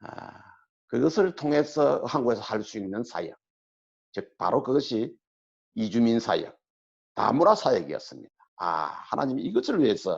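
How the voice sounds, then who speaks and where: A man is speaking. His pace is moderate. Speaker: missionary. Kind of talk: testimony sermon in church.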